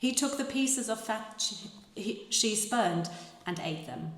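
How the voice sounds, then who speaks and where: A woman talks at a very slow pace with lively intonation and a medium pitch. Noticeable background noise runs behind her. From Germany. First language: German. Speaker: actress and translator. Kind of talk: live literary reading. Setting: live event hall with guitar accompaniment.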